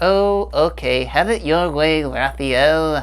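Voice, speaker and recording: In a cartoonish character voice, a man speaks at a very slow pace. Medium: puppet. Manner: goofy, playful.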